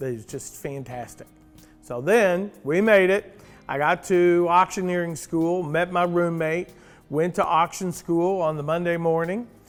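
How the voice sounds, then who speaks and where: Music plays behind a man speaking at a high pitch. His pace is fairly slow and his pitch varies in an ordinary way. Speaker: auctioneer. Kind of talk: casual talk to camera.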